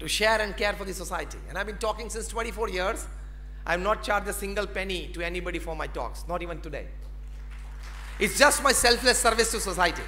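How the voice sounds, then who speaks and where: A man with a Gujarati Indian accent talks over crowd noise in the background. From Gujarat, India. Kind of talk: motivational conference speech. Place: hall. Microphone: podium.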